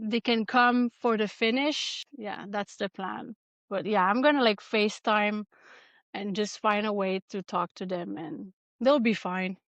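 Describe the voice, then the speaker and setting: A woman in a Quebec accent, fairly high in pitch with ordinary pitch variation, at a fairly slow pace, with a dry, close sound with no echo and a quiet background. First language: French. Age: 40s. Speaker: ultrarunner. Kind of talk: interview. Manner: halting.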